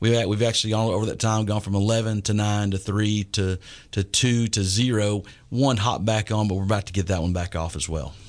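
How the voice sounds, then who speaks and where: A man with a Texan accent talks at a fairly quick pace. His intonation stays fairly even, and the background is quiet. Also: fairly low pitch for a man. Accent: Texan Southern US. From East Texas. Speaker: school superintendent. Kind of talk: radio interview. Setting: radio studio. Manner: hesitant with many fillers.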